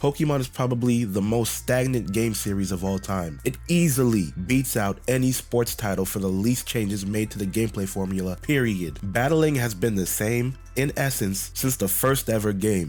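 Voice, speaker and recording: Music plays in the background as a man with an American accent speaks at medium pitch with lively intonation. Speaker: gaming YouTuber. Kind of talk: scripted opinion rant to camera.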